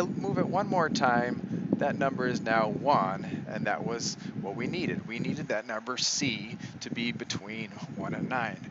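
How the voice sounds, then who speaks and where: There is audible room echo and noticeable background noise. A man speaks at a fairly slow pace with a medium pitch. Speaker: math teacher. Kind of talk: tutorial. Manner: hesitant, many fillers.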